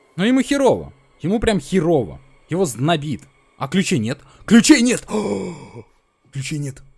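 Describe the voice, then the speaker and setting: Fairly high for a man and marked by vocal fry, the voice swings very widely in pitch at a moderate pace, broken by long, frequent pauses. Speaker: gaming youtuber. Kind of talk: let's play commentary. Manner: animated.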